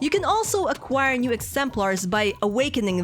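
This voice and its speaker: Moderately paced speech from a woman, with clear background noise behind her. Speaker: game reviewer. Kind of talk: video game review narration.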